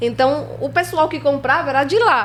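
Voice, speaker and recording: A Spanish accent at a moderate pace. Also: woman. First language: Spanish (speaking Portuguese). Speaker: filmmaker. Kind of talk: interview storytelling.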